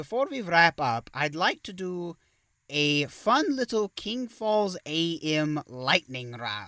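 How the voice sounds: In a put-on character voice, a man speaks slowly with a fairly high pitch, big pitch swings and a bright, sharp tone.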